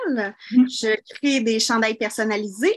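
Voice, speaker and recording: A woman speaks in a high-pitched voice. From Quebec (Saint-Jean-sur-Richelieu). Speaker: small business owner seeking advice. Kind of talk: call-in advice conversation.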